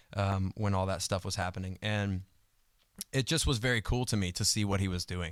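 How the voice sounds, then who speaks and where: A man with a fairly low pitch at a fairly quick pace, fairly even in intonation, on a very clean recording with a silent background. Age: 30s. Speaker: drummer. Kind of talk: casual interview chat. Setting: livestream video. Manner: loud.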